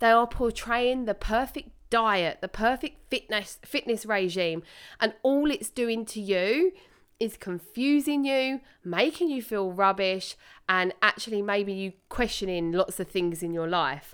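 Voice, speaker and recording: In a very clean recording with a silent background, a woman with a British accent speaks fairly slowly at a fairly high pitch, her tone animated and her intonation lively. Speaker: personal trainer and podcast host. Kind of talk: solo podcast monologue. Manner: animated, casual.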